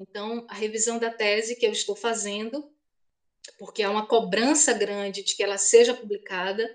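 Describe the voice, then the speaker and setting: A woman with an ordinary speaking voice talks at a fairly slow pace with fairly even intonation. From Bahia, Brazil (Feira de Santana). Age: 50s. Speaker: historian and university professor. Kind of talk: interview.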